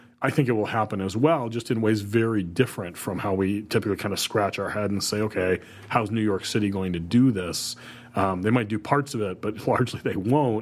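In a Midwestern US accent, the speaker talks at a fairly quick pace with ordinary pitch variation. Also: man, fairly low pitch for a man. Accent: US Midwest. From Ohio, Toledo area. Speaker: podcast co-host. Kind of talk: casual chat.

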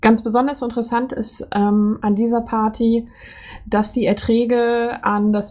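A woman with a fairly high pitch speaks in a somewhat breathy voice at a very slow pace. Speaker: podcast host. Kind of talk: interview.

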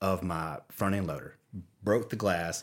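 A man's fairly low voice at a fairly slow pace. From Louisiana, US South. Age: 40s. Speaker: creative officer at a video company. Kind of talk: casual interview chat. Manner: rambling, with many false starts.

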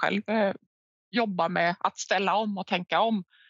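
A woman at a fairly slow pace and medium pitch, in dry, close sound with no echo. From Finland, near Vaasa (Swedish-speaking Ostrobothnia). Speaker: head of sustainability at a recycling company. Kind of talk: interview. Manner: hesitant, with frequent repetitions.

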